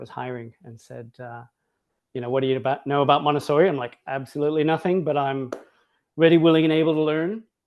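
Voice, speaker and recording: A man with an Australian accent speaks at a fairly quick pace with fairly even intonation. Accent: Australian-sounding. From Hawaii, US. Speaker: Montessori educator, school director. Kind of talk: online interview conversation.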